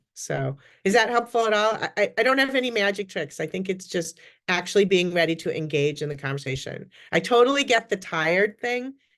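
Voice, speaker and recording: A woman's medium-pitched voice with lively intonation and a fairly quick pace, over a quiet background. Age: 60s. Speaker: career development speaker. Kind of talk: Q&A answer in a career workshop. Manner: chatty, talkative; many fillers and false starts.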